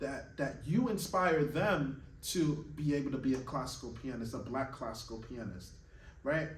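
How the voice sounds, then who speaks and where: In a room with audible echo, a man with a fairly high pitch and vocal fry talks at a moderate pace with lively intonation. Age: 30s. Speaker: classical pianist and piano teacher. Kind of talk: motivational monologue to camera. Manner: earnest, emphatic.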